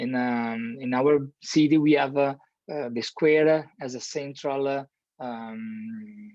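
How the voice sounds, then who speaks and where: A man with an Italian accent at a fairly slow pace, over a quiet background. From Italy (Milan). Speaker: architect. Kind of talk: lecture. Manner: halting, many fillers and repetitions.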